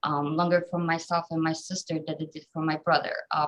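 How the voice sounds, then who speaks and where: A woman speaks with a Polish accent. Her pitch is fairly low and her pace moderate. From southern Poland. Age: 30s. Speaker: government office employee. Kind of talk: personal life story talk. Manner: frequent hesitations (um).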